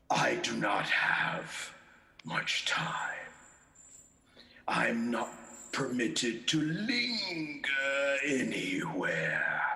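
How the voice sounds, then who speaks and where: A man uses a put-on character voice pitched fairly high. He speaks at a very slow pace with long, frequent pauses. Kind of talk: radio play performance. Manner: stern, scolding.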